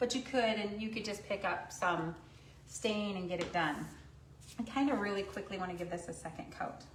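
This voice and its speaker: A woman talks at a moderate pace at a medium pitch, with ordinary pitch variation. There is noticeable background noise and audible room echo. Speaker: craft painting instructor. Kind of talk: live stream painting tutorial. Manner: loud; chatty, casual.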